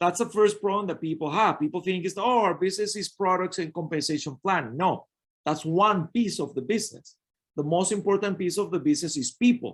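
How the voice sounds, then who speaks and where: Over a quiet background, a man with a Spanish accent talks fairly quickly in a high pitch with ordinary pitch variation. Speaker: network marketing coach. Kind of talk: business training webinar.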